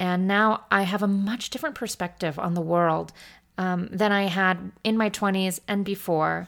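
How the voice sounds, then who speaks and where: The speech moves at a moderate pace with fairly even intonation, captured in a very clean recording against a silent background. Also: woman, medium pitch for a woman. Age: 30s. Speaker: podcast host. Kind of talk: solo monologue. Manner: halting.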